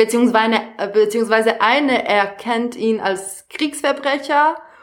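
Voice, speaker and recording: A woman's fairly high voice in a Serbian accent, with ordinary pitch variation. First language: Serbian (speaking German). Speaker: actress and theatre educator. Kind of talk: casual chat. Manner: halting.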